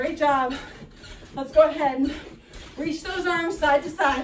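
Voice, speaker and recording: A woman speaks at an extremely high pitch and a fairly slow pace, with ordinary pitch variation, audible room echo and light background noise. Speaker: fitness instructor. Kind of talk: workout instruction. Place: home room.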